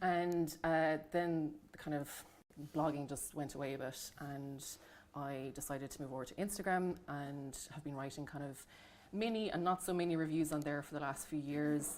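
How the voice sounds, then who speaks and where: A woman with a Dublin accent speaks with very deep, low pitch and fairly even intonation. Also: moderate pace. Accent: Irish, Dublin. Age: 30s. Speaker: book reviewer, nurse and midwife. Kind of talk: panel talk at library event.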